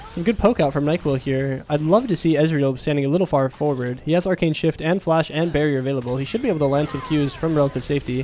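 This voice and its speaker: The talking is very fast, with hardly any pauses and ordinary pitch variation. Noticeable background noise runs underneath. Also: man, fairly high pitch for a man. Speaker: esports caster. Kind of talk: live commentary. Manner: loud, yelling at big plays.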